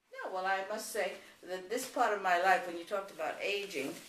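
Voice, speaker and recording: Noticeable background noise and audible room echo surround a woman speaking at a fairly quick pace. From New York City. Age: 80s+. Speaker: grandmother. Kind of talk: family interview.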